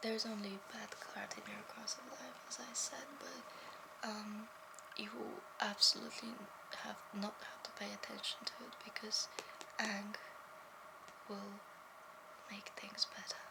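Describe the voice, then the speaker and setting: A whispering woman with long, frequent pauses and big swings in loudness, amid noticeable background noise. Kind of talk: ASMR role play. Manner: soft-spoken.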